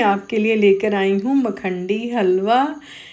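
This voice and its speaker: Speaking at a very slow pace with ordinary pitch variation, a woman is heard with audible room echo. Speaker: cooking channel host. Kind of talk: cooking tutorial. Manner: casual, halting with fillers.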